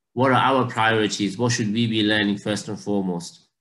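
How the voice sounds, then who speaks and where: Intonation stays fairly even as a man talks. His pace is moderate against a quiet background. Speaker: religious teacher. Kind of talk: lecture. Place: home room. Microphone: video call.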